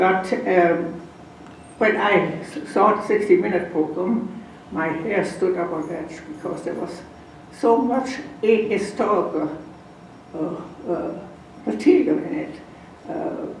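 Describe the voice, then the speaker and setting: A woman's medium-pitched voice with a non-native accent, very slow and broken by long, frequent pauses, lively in intonation, over noticeable background noise and audible room echo. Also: big swings in loudness. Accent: foreign. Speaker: Holocaust survivor and lecturer. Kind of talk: lecture.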